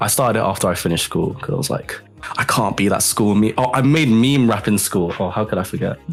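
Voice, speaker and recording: Music plays behind a man's voice. He speaks at a very fast pace. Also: medium pitch for a man, ordinary pitch variation. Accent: London. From London, England. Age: 20s. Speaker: music producer and rapper. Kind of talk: casual interview chat. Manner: halting, many fillers.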